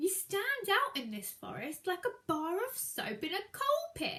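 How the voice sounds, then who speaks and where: Putting on a character voice, a woman speaks at a moderate pace, her extremely high pitch making very wide swings. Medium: read story. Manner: practical, calm.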